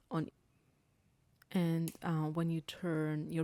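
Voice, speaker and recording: With an Austrian accent, a woman speaks at a fairly slow pace in a fairly low voice with a dark, mellow tone, in a very clean recording with a silent background and a dry, close sound with no echo. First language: German. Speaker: crafting demonstrator. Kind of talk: tutorial. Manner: hesitant, many fillers.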